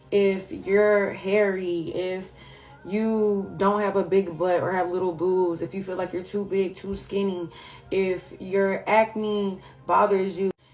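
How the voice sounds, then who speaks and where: An American woman speaks very slowly at a medium pitch with flat, monotone intonation. Music can be heard in the background. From San Francisco Bay Area. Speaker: lifestyle content creator. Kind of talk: casual vlog talk.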